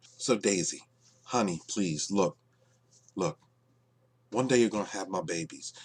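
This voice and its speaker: A man talks quietly at a fairly low pitch and fairly quick pace with lively intonation. The sound is dry and close, with no echo. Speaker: YouTube commentator. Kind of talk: casual vlog rant. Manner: quiet, keeping voice down.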